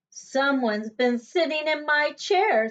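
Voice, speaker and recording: Put-on character voice from a woman, high-pitched and fairly slow. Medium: read story.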